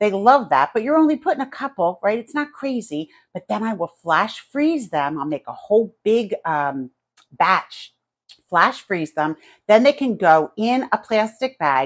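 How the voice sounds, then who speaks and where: This woman has a fairly high pitch and a New Jersey accent, and her pitch swings very widely. The sound is dry and close, with no echo. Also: fairly slow pace. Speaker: home cooking YouTuber. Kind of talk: live cooking stream chat. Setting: home kitchen, live stream. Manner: casual, chatty.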